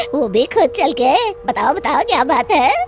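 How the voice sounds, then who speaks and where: A female-sounding cartoonish character voice, high in pitch, moves at a moderate pace. Clear background noise runs underneath. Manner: cackling, taunting.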